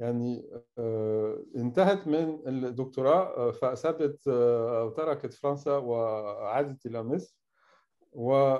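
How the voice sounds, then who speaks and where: The background stays quiet. His pitch, a man's, shifts in an ordinary way. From France. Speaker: professor and session moderator. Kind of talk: panel discussion. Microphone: video call.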